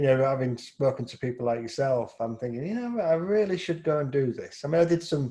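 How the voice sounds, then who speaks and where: A man with a fairly high pitch and lively intonation speaks with hardly any pauses. His tone is dark and mellow, and somewhat breathy. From East Yorkshire, England. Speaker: photographer and interviewer. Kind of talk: casual interview chat.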